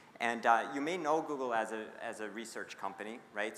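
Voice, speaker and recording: A man speaks at a medium pitch, with audible room echo around him. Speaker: conference speaker on people analytics. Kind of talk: conference presentation. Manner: fast.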